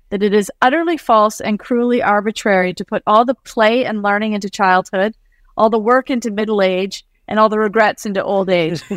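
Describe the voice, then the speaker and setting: A plain, everyday voice with ordinary pitch variation, dry and close with no echo, in a very clean recording over a silent background. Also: woman. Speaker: author and company CEO. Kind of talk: casual interview chat.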